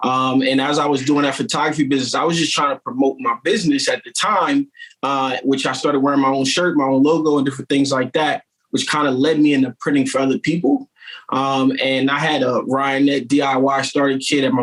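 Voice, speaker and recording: Here is an ordinary speaking voice: a man with an American accent at a fairly high pitch. He talks at a fairly quick pace with fairly even intonation. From Wilmington, Delaware, US. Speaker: t-shirt shop owner and entrepreneur. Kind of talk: podcast interview, casual chat.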